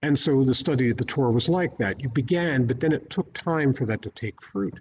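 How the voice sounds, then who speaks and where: With lively intonation and a somewhat breathy quality, a man talks at a moderate speed. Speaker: Episcopal priest giving a sermon. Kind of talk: church sermon.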